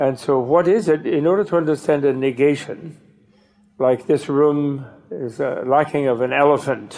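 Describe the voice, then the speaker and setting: This is a man with a normal speaking voice. His pitch variation is ordinary. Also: fairly high pitch for a man, moderate pace. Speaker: Buddhist teacher. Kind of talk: dharma talk. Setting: stage with audience.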